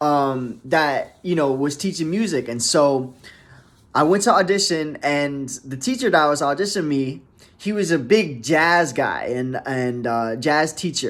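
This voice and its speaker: A man with an American accent uses a plain, everyday voice at a fairly high pitch with lively intonation. He talks at a fairly slow pace in a very clean recording with a silent background. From US South, Miami, Florida. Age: 20s. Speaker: jazz bassist. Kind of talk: casual talk to camera. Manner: casual, relaxed.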